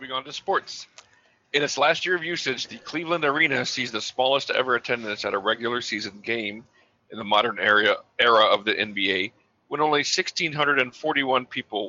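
This man talks at a moderate pace in a normal speaking voice, with ordinary pitch variation. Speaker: podcast co-host. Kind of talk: casual banter podcast chat.

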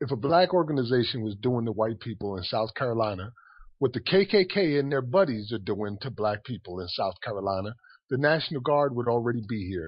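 A man with an American accent speaks at a moderate pace and a medium pitch. His voice is somewhat breathy. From Paterson, New Jersey. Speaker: activist. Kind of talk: radio discussion.

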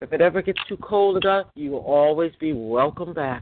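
Her pitch fairly low with ordinary variation, a woman moves at a fairly quick pace in an unremarkable speaking voice. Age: 50s. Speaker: moderator of a call-in roundtable for people who believe they are targeted. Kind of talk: moderated call-in group discussion. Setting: phone conference call.

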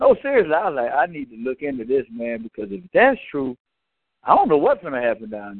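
In a Southern US accent, a man with a fairly high pitch talks at a fairly quick pace in an animated tone, his intonation lively and his loudness swinging widely. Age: 40s. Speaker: sports talk radio co-panelist. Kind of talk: casual sports debate.

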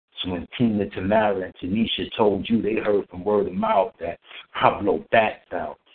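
In a normal speaking voice, a man with a fairly low pitch talks at a moderate pace and keeps his intonation fairly even. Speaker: poet. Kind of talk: poetry performance. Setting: phone call.

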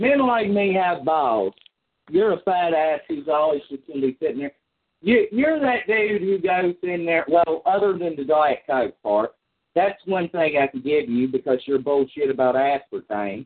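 With a Kentucky accent, a man speaks at a high pitch that swings very widely. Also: moderate pace. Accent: Kentucky Southern US. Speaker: chat line caller. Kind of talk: heated debate. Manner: loud.

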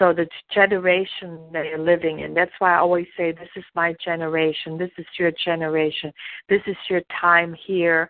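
In a German accent, a woman with a fairly low pitch speaks in a monotone, flat way with big swings in loudness. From Germany. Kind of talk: devotional teaching.

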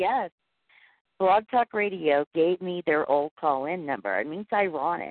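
This woman has a fairly low pitch and an ordinary speaking voice. She talks at a moderate pace with lively intonation. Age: 40s. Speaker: internet radio host. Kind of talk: casual chat. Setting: online call-in show via Skype.

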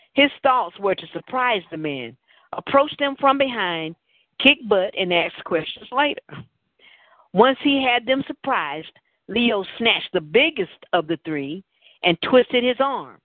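Her pitch swinging very widely, a woman speaks fairly slowly with a Southern US accent. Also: fairly high pitch for a woman. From Tennessee, US South. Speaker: talk show host and novelist. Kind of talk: casual talk show chat; reading aloud from own novel.

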